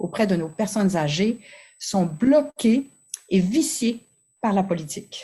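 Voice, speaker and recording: The voice is somewhat breathy, with a dark, mellow tone and lively intonation. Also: woman. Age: 60s. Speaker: family physician. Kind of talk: conference talk. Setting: conference.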